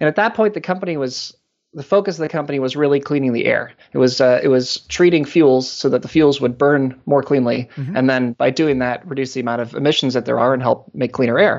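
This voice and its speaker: With an American accent, this man talks at a very fast pace in a fairly high pitch, his pitch varying in an ordinary way. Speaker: company executive. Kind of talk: casual interview. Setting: phone call. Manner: halting.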